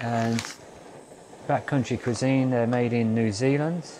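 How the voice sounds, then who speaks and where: A man speaks with fairly even intonation in a dry recording with no echo and light background noise. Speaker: hiker reviewing camp food. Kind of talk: casual outdoor review vlog. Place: open country.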